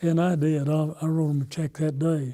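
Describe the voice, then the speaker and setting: Someone with an American accent speaks at a moderate pace in a dark, mellow tone with fairly even intonation. The recording is very clean, with a silent background. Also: man. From Oklahoma. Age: 80s+. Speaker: war veteran. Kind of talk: interview storytelling. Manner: halting, with repetitions and fillers.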